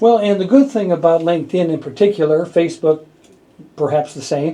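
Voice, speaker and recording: A man with a high pitch and a dark, mellow tone talks at a fairly quick pace. His loudness swings widely while his pitch variation stays ordinary. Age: 70s. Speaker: radio host. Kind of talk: radio interview. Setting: radio studio.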